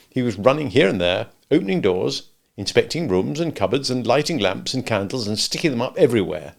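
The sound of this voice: A quiet background surrounds the speech. The reading voice is unforced.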